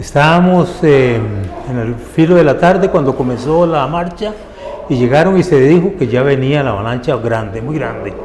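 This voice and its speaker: Over noticeable background noise and audible room echo, a man with a fairly high pitch speaks at a moderate pace with lively intonation. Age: 70s. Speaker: former Red Cross volunteer. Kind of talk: testimony.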